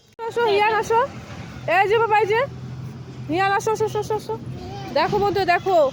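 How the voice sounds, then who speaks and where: A woman at an extremely high pitch, animated in tone, against noticeable background noise. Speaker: family vlogger. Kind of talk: casual vlog narration to viewers and children. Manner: animated, repetitive calling.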